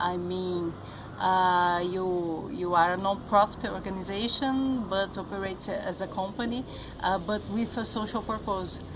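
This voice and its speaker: A woman speaks at a medium pitch with fairly even intonation and a fairly slow pace. Audible room echo surrounds her voice. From Brazil. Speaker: journalist. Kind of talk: interview. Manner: halting.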